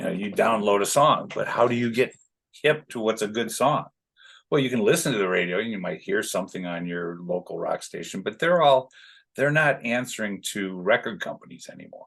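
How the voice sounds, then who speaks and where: With an American accent, a man talks at a fairly quick pace and medium pitch, his intonation lively and his loudness swinging widely. The background is quiet. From Chicago, US Midwest. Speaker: concert production manager. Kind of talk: casual chat. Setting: podcast interview. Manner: animated.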